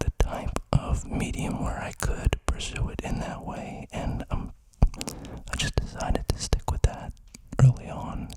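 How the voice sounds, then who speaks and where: Someone whispers over noticeable background noise. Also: fairly slow pace. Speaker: ASMR creator. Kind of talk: close-mic soft-spoken talk. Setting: home studio, close condenser mic. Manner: soft-spoken.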